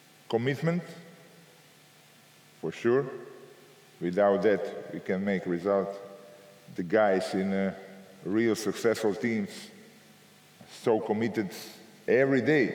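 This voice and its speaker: Audible room echo surrounds a man talking at a fairly slow pace with a fairly low pitch, ordinary pitch variation, and long, frequent pauses. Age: 60s. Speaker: basketball coach. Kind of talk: Q&A answer; lecture. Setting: coaching clinic with audience.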